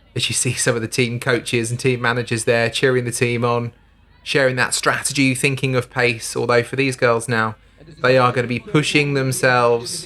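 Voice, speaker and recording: An ordinary speaking voice at a moderate pace. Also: man, medium pitch for a man. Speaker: sports commentator. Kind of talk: live modern pentathlon commentary. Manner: steady, informative, upbeat.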